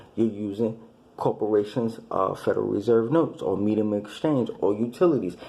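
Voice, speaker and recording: There is audible room echo around a man with a dark, mellow tone and medium pitch. He speaks at a fairly quick pace with ordinary pitch variation. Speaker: religious commentator. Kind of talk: monologue lecture. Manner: halting, repetitive.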